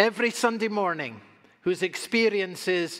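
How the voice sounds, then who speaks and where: The background stays quiet. Over it, a man talks. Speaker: pastor. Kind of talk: sermon. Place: church.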